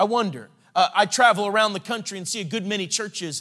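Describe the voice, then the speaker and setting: A man projects a raised voice that is high-pitched with a bright, sharp tone. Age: 40s. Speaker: evangelist. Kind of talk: sermon.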